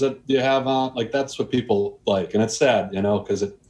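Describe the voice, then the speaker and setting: Medium pitch from a man, ordinary pitch variation, moderate pace. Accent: American. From US Midwest, Milwaukee, Wisconsin. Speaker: boating YouTuber. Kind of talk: casual interview chat.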